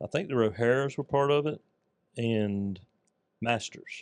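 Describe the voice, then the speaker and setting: A man with a Southern US accent at medium pitch, with ordinary pitch variation and a dry, close sound with no echo. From US South, north Florida (Putnam County). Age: 60s. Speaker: small business owner, carpet cleaner. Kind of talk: casual interview chat.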